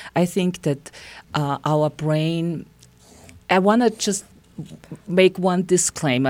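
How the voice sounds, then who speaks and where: Speaking very slowly with a German accent, a woman uses a fairly low pitch and ordinary pitch variation. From Austria. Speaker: psychotherapist. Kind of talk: interview. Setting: studio.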